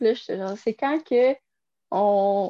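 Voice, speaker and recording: With a Quebec accent, a woman speaks at a fairly high pitch in a dark, mellow tone, the sound dry and close with no echo against a quiet background. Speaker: podcast co-host. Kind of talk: casual chat.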